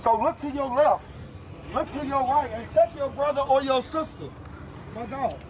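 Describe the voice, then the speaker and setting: Noticeable background noise surrounds a man with an extremely high pitch. He leaves long, frequent pauses. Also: moderate pace. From US South, Louisville, Kentucky. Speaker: pro football player speaking at protest. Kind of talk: protest speech. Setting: outdoors at street protest. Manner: loud; animated.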